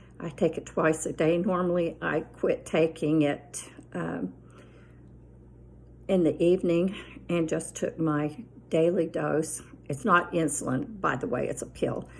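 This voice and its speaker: With long, frequent pauses, a woman talks in a fairly low voice that has vocal fry and ordinary pitch variation. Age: 70s. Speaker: lifestyle vlogger. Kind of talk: casual chat. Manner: rambling conversational with fillers.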